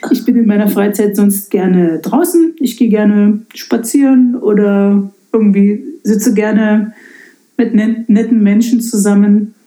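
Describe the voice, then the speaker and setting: The voice has a dark, mellow tone and sounds somewhat breathy. It moves at a fairly slow pace with very even loudness. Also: woman, fairly high pitch for a woman, ordinary pitch variation. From eastern Germany, Lausitz. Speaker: pastor. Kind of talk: casual interview. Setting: in her study at the parsonage.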